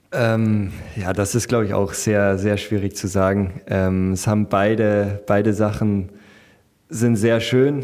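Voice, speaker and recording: The delivery comes at a very slow pace. Intonation stays fairly even. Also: man, fairly low pitch for a man. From Bavaria, Munich area. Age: 20s. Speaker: professional footballer. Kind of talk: interview. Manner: hesitant, many fillers.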